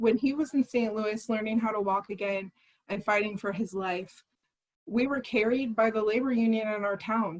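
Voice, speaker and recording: Someone with an American accent speaks at a fairly quick pace in a normal speaking voice with fairly even intonation. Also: woman. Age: 20s. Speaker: political candidate. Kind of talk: candidate forum speech.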